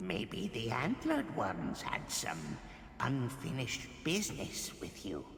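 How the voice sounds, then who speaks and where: A man whispers in a put-on character voice at a fairly slow pace. Clear background noise and a slight echo sit around him. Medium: video game. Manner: emotional, earnest.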